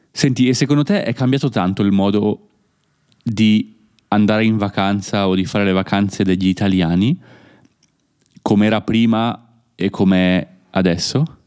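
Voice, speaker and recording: At a moderate pace and a fairly low pitch, a man talks with ordinary pitch variation and long, frequent pauses. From Italy. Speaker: podcast host, Italian teacher. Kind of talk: casual interview for learners. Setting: recording at family home in Italy.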